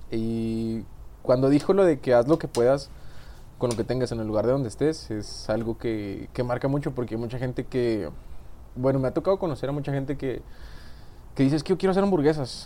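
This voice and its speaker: At a fairly quick pace broken by long, frequent pauses, a man speaks at medium pitch in a dark, mellow tone. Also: ordinary pitch variation. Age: 20s. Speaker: recently graduated engineer. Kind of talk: casual chat. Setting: studio.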